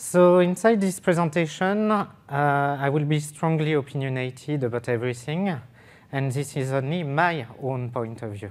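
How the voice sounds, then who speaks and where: On a very clean recording with a silent background, a man with a French accent speaks at a fairly high pitch and a moderate pace, with ordinary pitch variation. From France, French Riviera. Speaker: software developer, conference speaker. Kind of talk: technical conference talk. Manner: hesitant with fillers.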